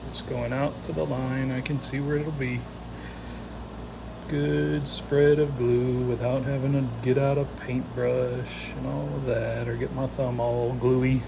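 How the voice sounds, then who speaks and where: Audible room echo and noticeable background noise surround a man talking at a very slow pace. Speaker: woodworker. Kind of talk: workshop build narration. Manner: casual, chatty.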